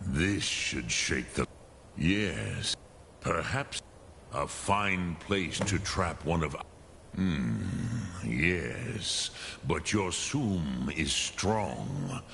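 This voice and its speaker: Using a put-on character voice, very deep and low, a man speaks at a very slow pace with long, frequent pauses over clear background noise. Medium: video game. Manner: slow, solemn.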